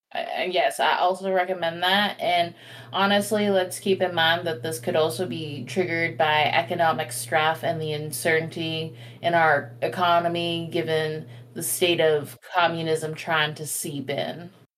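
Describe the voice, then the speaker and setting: A woman has a normal speaking voice, fairly low in pitch with ordinary pitch variation. She talks at a fairly slow pace. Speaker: tabletop roleplaying game player. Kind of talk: playful in-character roleplay.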